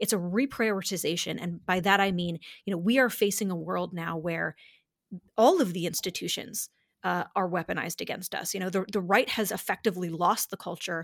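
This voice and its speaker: A woman with a normal speaking voice talks at medium pitch with ordinary pitch variation, on a very clean recording with a silent background. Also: fairly quick pace. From upstate New York. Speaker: conservative policy director. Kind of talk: interview.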